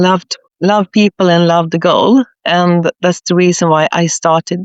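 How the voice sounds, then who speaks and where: A woman talks in a Swedish accent at a fairly slow pace. Her pitch sits fairly low. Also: fairly even intonation. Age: 60s. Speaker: leadership consultant, former nurse. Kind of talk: podcast interview.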